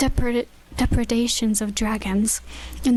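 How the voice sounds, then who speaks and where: Speaking high in pitch, a woman is heard against noticeable background noise. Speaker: ASMR audiobook reader. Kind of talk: audiobook narration.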